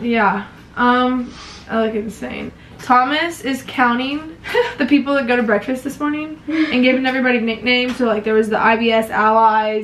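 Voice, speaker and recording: Moderate pace and fairly even intonation from a woman with a high voice, plus light background noise. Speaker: college cheerleader vlogger. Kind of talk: casual vlog chat. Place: home room. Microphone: phone near.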